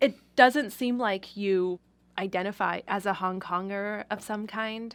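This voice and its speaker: A woman with an American accent speaks at a fairly slow pace with fairly even intonation on a very clean recording with a silent background. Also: medium pitch for a woman. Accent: slight Asian tinge. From Southern California, San Gabriel Valley. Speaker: anthropologist. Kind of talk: casual chat.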